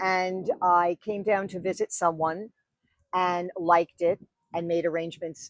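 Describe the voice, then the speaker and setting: A woman with a New York accent speaks at a fairly low pitch in a flat monotone. The sound is dry and close, with no echo. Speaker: wedding officiant. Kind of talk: podcast interview.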